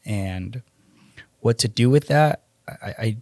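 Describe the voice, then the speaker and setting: A man with a Spanish accent, medium in pitch and somewhat breathy, with a dry, close sound and no echo. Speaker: electrician and fatherhood coach. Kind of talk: podcast interview, personal testimony.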